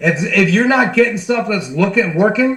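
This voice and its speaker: In a room with audible echo and noticeable background noise, a man with an American accent speaks in an animated tone at a high pitch. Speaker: sales team trainer. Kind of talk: online training call. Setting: video call. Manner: fast; animated, casual.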